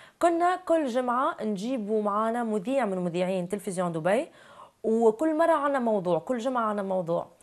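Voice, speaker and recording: In a Tunisian accent, a woman speaks at a moderate pace with very wide pitch swings, the background quiet. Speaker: actress and TV presenter; actress, TV presenter. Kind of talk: interview. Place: studio. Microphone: lapel.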